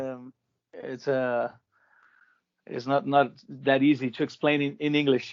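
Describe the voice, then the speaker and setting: The speaker has a Portuguese accent and a fairly slow pace, with fairly even intonation, big swings in loudness and long, frequent pauses. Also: man, fairly high pitch for a man. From Brazil. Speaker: rock band vocalist and vocal teacher. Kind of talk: interview. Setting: video call. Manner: halting, many repetitions.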